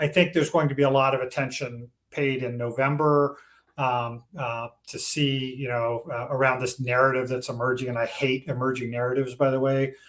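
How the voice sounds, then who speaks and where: Here a man talks at a fairly quick pace with a medium pitch. His intonation is monotone and flat. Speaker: journalist. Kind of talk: panel discussion. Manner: halting with fillers.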